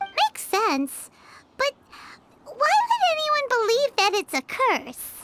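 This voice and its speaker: A cartoonish character voice, squeaky and extremely high in pitch, comes through. It moves at a fairly slow pace with long, frequent pauses. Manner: dry, teasing.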